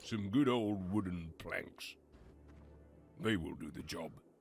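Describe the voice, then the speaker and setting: This is a raspy, put-on character voice. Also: man, fairly low pitch for a man, fairly slow pace. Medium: video game. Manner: plain, self-talking.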